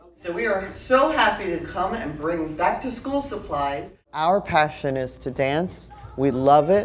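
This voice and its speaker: A loud woman's voice, fairly low in pitch, fairly slow with hardly any pauses and very wide pitch swings, over noticeable background noise. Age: 70s. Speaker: dance director and choreographer. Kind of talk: interview and rehearsal instruction.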